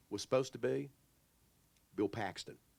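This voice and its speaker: A Texas-accented man at a medium pitch, in a very clean recording with a silent background and a dry, close sound with no echo. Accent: Texas drawl. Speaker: author. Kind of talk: panel Q&A.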